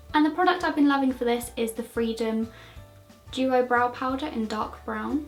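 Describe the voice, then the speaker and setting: Over music in the background, a woman speaks at a moderate pace with high pitch and ordinary pitch variation. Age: 20s. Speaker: beauty vlogger. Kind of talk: makeup tutorial talk to camera. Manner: casual, chatty.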